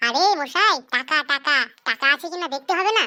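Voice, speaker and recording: In a cartoonish character voice, a woman speaks at a moderate pace with a high pitch and lively intonation, recorded very cleanly against a silent background with a dry, close sound and no echo. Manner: teasing, suggestive.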